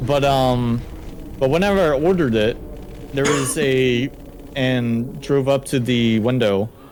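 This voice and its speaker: This man's medium-pitched voice, with ordinary pitch variation, is heard against noticeable background noise. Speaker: gaming streamer. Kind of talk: casual chat.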